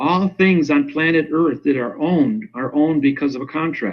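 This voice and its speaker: A man's unremarkable speaking voice, pitched fairly high, with ordinary pitch variation and a moderate speed. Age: 60s. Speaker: self-styled legal grammar expert. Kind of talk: interview.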